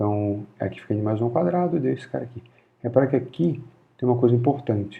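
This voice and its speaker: At a very fast pace, a man with a slight Carioca accent talks at medium pitch with ordinary pitch variation. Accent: mild Rio de Janeiro (carioca). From Rio de Janeiro, Brazil. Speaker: physics lecturer. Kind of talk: informal university lecture.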